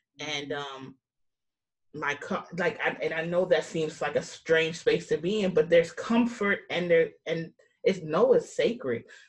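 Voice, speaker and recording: A woman with an American accent and fairly low pitch speaks at a fairly slow pace, somewhat breathy, with ordinary pitch variation. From New York. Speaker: podcast host. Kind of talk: casual podcast conversation.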